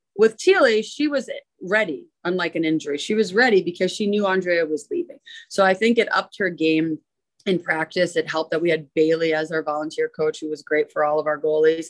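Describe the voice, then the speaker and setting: In a Canadian accent, a woman speaks with a plain, everyday voice, her fairly low pitch showing ordinary variation. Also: fairly quick pace. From Ontario, Canada. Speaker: head hockey coach. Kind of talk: interview.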